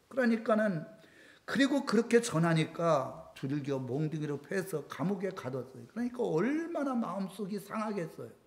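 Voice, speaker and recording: Audible room echo surrounds a man speaking at a high pitch and moderate pace, his pitch swinging very widely. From South Korea. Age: 60s. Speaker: pastor. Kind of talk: sermon.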